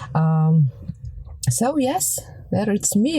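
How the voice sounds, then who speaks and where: Someone speaks with a Ukrainian accent over noticeable background noise. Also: woman. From Ukraine. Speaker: researcher. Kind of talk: interview. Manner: halting.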